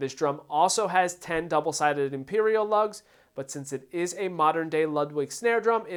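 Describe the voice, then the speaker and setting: A man speaks with an American accent in a high pitch, at a moderate pace and with ordinary pitch variation. The recording is very clean, with a silent background. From Philadelphia, US. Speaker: drummer and gear reviewer. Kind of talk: product review; giveaway announcement.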